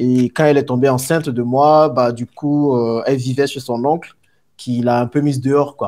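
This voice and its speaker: A man speaks at a moderate pace with a medium pitch. His tone is dark and mellow, and his intonation is monotone and flat. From Ivory Coast, Abidjan. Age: 30s. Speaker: entrepreneur. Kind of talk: interview, life story. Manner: hesitant fillers.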